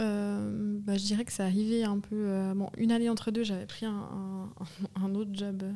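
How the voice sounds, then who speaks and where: A woman talks at a fairly slow pace with hardly any pauses. Her medium-pitched voice has a monotone, flat intonation. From Switzerland, canton of Vaud. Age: 30s. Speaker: grocery network co-founder. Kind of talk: interview conversation. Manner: hesitant, many fillers.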